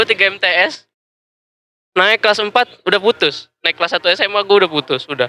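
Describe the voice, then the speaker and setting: Speaking fairly quickly in a raised, projected voice, a man with a high pitch and a bright, sharp tone keeps his loudness very even and his intonation lively, the sound dry and close with no echo. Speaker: podcast guest. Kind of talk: casual chat.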